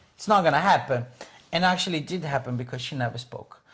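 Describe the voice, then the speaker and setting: A man is speaking. He has a Portuguese accent. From Brazil. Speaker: English teacher. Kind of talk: casual chat. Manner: animated; halting.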